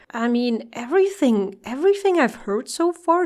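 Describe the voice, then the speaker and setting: A woman with a non-native accent and lively intonation. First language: not English. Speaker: music reaction youtuber. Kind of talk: album reaction commentary. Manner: hesitant, repeats words.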